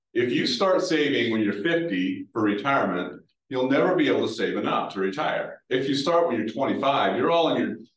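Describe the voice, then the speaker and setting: A man with an American accent at a fairly quick pace, fairly high in pitch with very wide swings, vocal fry and very even loudness, plus audible room echo. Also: hardly any pauses. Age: 60s. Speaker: retired banking executive. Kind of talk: talk with audience Q&A.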